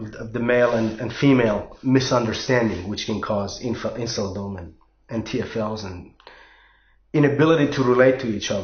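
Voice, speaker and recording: This man has a non-native accent and a somewhat breathy voice. His pitch varies in an ordinary way. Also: medium pitch for a man, moderate pace. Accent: foreign. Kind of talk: casual talk to camera. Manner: hesitant, repetitive.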